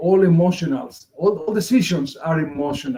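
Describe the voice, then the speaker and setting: A man's high voice with a dark, mellow tone and a Spanish accent, at a fairly quick pace with ordinary pitch variation. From Argentina. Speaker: multicultural marketing consultant. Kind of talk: interview presentation.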